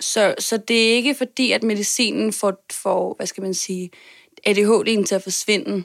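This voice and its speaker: The recording is very clean with a silent background. A woman talks at medium pitch with fairly even intonation. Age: 20s. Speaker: podcast guest, marketer and performer. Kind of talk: interview about personal health. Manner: hesitant, many fillers.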